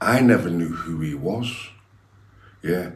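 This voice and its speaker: A man's very deep, low voice in a Liverpool accent, with ordinary pitch variation and audible room echo. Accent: Liverpool (Scouse). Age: 60s. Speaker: former gangster turned preacher. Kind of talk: interview. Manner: animated.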